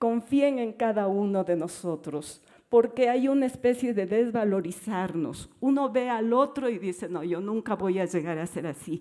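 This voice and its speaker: A woman speaks at a fairly slow pace in a fairly high pitch. Her tone is dark and mellow, and her intonation lively. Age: 70s. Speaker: dancer and dance teacher. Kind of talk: panel discussion.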